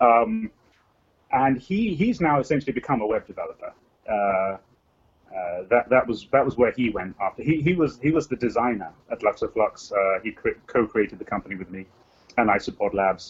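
This man has an unremarkable speaking voice at medium pitch. He talks at a moderate pace with lively intonation. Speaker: game developer and programmer. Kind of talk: casual interview chat.

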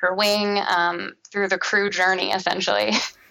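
A woman speaks with a Midwestern American accent. Her medium-pitched voice has a bright, sharp tone. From Cincinnati, Ohio, US. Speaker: commercial real estate coordinator. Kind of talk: interview. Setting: podcast interview.

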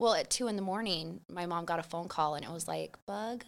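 A woman with an American accent has a plain, everyday voice, talking at a moderate pace with ordinary pitch variation. The recording is very clean, with a silent background. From Idaho (Boise area), US. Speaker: small business founder, mother. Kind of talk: casual chat.

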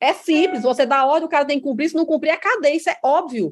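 A woman's high-pitched voice. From Ceará, Brazil (Crato). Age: 40s. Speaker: state finance secretary. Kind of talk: interview.

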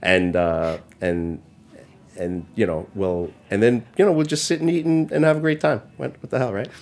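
A man with a New York accent speaks in a fairly low voice that swings very widely in pitch. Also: moderate pace. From New York City, Chinatown and Brooklyn. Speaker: chef and restaurant owner. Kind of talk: casual interview chat. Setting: studio.

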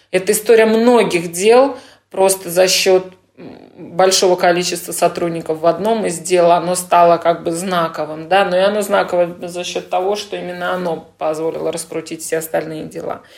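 Intonation stays fairly even in this woman's voice. She keeps a moderate pace. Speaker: lawyer. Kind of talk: interview answers. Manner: calm.

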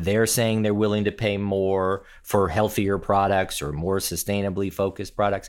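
This man has an unremarkable speaking voice, pitched fairly low. He talks at a fairly slow pace. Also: very clean recording, silent background. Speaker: podcast host. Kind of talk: interview.

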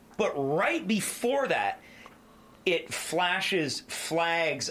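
Against noticeable background noise, a man with a high pitch speaks in very wide pitch swings. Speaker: podcast host. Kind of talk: casual banter, music review podcast.

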